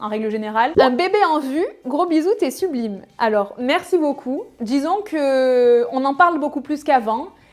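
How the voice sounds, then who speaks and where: A woman speaks with a high pitch. She leaves hardly any pauses. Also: lively intonation. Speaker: fashion YouTuber. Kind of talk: casual Q&A vlog. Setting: home video, natural light. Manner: hesitant fillers.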